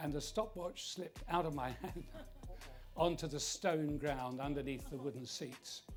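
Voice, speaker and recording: A man with a fairly high voice speaks while music plays in the background. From South London. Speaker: former prime minister. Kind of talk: interview answer. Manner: measured, thoughtful.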